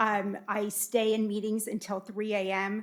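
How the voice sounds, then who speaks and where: Flat, monotone intonation marks this voice with an American accent, heard in a very clean recording with a silent background. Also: woman. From US West Coast, Los Angeles area. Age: 40s. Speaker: city council candidate. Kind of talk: candidate forum opening statement. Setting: public forum with audience in a room.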